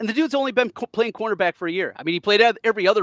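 A man speaks with lively intonation. The background is quiet and the sound is dry, with no echo. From US Midwest. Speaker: sports podcast host. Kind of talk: casual sports chat. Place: home room. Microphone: headset.

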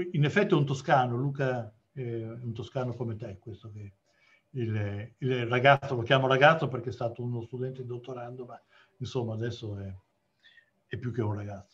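Long, frequent pauses break up this man's moderate pace. His somewhat breathy voice swings widely in loudness. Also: ordinary pitch variation. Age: 60s. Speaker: geology professor. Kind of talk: lecture. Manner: halting. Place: home room. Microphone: video call.

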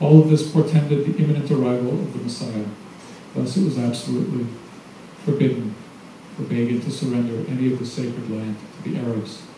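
A man talks at a very fast pace with ordinary pitch variation, broken by long, frequent pauses. There is audible room echo and light background noise. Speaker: novelist. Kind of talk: reading aloud. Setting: stage with audience. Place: cafe.

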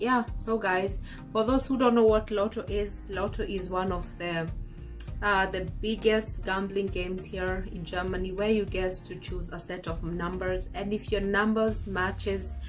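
Fairly even intonation at a fairly slow pace, with clear music in the background. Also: woman. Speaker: vlogger. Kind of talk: casual vlog chat. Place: home room. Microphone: phone near.

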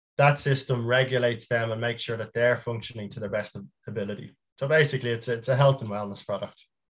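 With a Dublin accent, a man talks at a very fast pace, somewhat breathy and with fairly even intonation, over a quiet background. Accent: Dublin Irish. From Dublin, Ireland; Ireland. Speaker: small business founder; guest. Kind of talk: casual interview chat. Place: home room.

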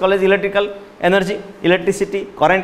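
A man's words come out at a very fast pace. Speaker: physics teacher. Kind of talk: lecture. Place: classroom. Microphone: lapel.

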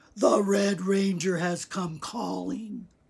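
A man puts on a wheezy character voice pitched high. He speaks at a very slow pace.

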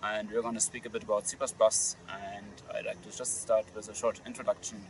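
A man speaks at a moderate pace. The sound is dry with no echo, and there is light background noise. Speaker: conference organizer and interviewer. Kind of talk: interview question. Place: open country.

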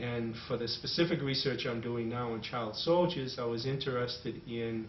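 With an American accent, a man talks at a fairly slow pace and medium pitch with ordinary pitch variation, with audible room echo and light background noise. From Boston, USA. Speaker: anthropologist. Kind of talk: interview answer. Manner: hesitant, thoughtful. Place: home room. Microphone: camera far.

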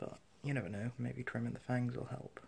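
A man's fairly quick speech over light background noise. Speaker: vlogger. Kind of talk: casual vlog chat. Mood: quiet, slightly hushed. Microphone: phone near.

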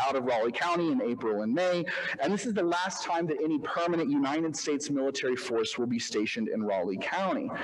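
A man with an American accent talks at a moderate pace in a fairly high pitch, making very wide pitch swings over light background noise. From Oklahoma and Arkansas. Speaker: historian. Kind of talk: history lecture. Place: hall. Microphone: podium.

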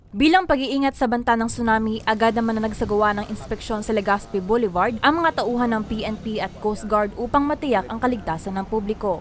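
A woman talks at a fairly quick pace with hardly any pauses, her fairly high pitch showing ordinary variation over noticeable background noise. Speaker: news reporter. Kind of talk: news report.

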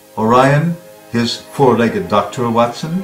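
With music playing in the background, a man speaks at a fairly slow pace. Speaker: audiobook narrator. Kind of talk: book trailer narration. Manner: dramatic.

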